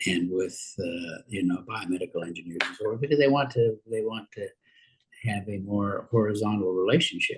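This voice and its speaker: At a moderate pace, a man with a fairly low pitch and ordinary pitch variation speaks in a somewhat breathy voice. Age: 80s+. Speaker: university president. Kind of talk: interview. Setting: podcast. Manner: halting, many fillers and repetitions.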